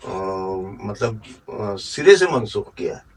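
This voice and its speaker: A man's voice with noticeable background noise. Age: 60s. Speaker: poet. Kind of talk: interview.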